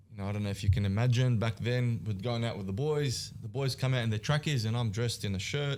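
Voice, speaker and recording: Talking at a very fast pace in an Australian accent, a man keeps a medium pitch with ordinary pitch variation. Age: 30s. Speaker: business founder. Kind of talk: podcast interview. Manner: animated.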